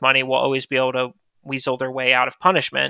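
In an American accent, a man talks at a very fast pace with a bright, sharp tone, recorded very cleanly against a silent background with a dry, close sound and no echo. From US South, small-town north Florida. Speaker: startup founder and CEO. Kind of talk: interview, telling life story.

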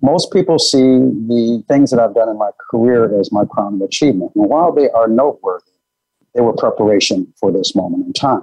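Keeping his loudness very even, a man with a Midwestern American accent talks at a fairly quick pace. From Michigan, US (Detroit suburbs). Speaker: business executive. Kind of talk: interview.

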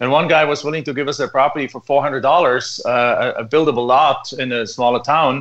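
With a German accent, a man talks at a moderate pace, his pitch fairly high and his pitch variation ordinary. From Germany. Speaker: land investor. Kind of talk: radio interview.

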